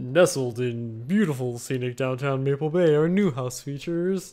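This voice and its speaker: Put-on character voice from a man, medium in pitch, moderate in pace. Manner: cheesy, salesy.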